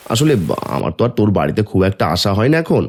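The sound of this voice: In a cartoonish character voice, a man talks at a very fast pace with fairly low pitch, big pitch swings and a slightly husky edge.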